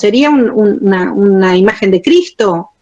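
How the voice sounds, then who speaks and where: A woman's pitch swings very widely while she keeps to a fairly slow pace. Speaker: theatre historian and lecturer. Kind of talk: lecture. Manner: clear, pleasant delivery.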